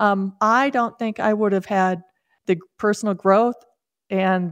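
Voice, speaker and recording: A woman's normal speaking voice at a medium pitch with fairly even intonation, dry and close with no echo, in a very clean recording against a silent background. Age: 60s. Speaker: author and podcast host. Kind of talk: radio interview.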